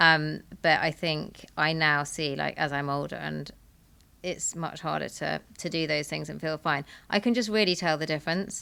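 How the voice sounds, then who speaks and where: Her voice is very deep and low for a woman, with a bright, sharp tone and vocal fry. She speaks at a moderate pace with ordinary pitch variation, on a very clean recording with a silent background. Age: 40s. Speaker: founder and angel investor. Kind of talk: live podcast panel answer.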